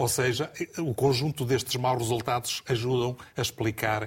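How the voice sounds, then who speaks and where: The recording is very clean, with a silent background. A man with a medium pitch and ordinary pitch variation sounds somewhat breathy. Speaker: football pundit. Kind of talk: TV football analysis panel. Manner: halting.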